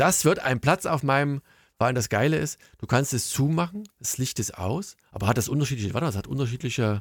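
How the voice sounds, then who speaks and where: Lively intonation at a fairly quick pace, somewhat breathy, in a very clean recording with a silent background and a dry, close sound with no echo. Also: man. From East Germany. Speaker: podcast host. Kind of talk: casual chat.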